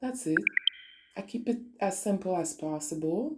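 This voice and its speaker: A woman speaks in a Quebec accent. Her tone is dark and mellow, with ordinary pitch variation. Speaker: spiritual online radio host. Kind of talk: spiritual talk monologue. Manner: casual, code-switching French and English.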